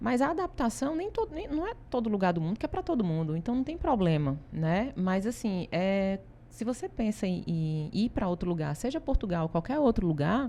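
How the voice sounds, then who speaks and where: In a Ceará accent, a woman with a dark, mellow tone and a medium pitch speaks at a moderate pace with very wide pitch swings and hardly any pauses. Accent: Ceará Brazilian accent, kept. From Brazil, Ceará. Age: 40s. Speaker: consultancy founder. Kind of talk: interview.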